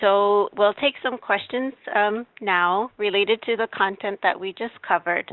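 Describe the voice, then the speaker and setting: A woman with a plain, everyday voice speaks at a medium pitch and a fairly slow pace, keeping her intonation fairly even. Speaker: state health program presenter. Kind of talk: webinar presentation. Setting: webinar.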